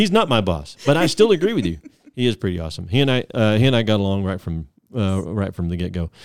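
At a very fast pace, the speaker talks with lively intonation. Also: man, fairly low pitch for a man. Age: 50s. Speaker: podcast host. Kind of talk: casual chat. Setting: studio.

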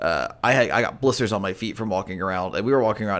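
Here is a man with an unremarkable speaking voice. His pitch is fairly low, with ordinary pitch variation. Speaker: podcast co-host. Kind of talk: casual chat.

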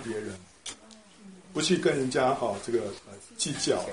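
A man's voice carries audible room echo. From Taiwan, Taipei. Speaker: church member, retired translator. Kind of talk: personal faith testimony. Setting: church small group meeting.

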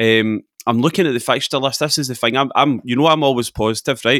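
A man speaks at a moderate pace in a bright, sharp tone with ordinary pitch variation. The recording is very clean with a silent background and a dry, close sound with no echo. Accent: Scottish. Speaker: football journalist. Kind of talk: casual chat.

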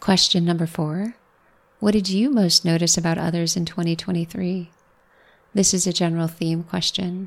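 A woman talks in a fairly low, somewhat breathy voice with fairly even intonation. The recording is very clean, with a silent background. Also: moderate pace. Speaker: podcast host, physician and mindset coach. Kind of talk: solo podcast monologue.

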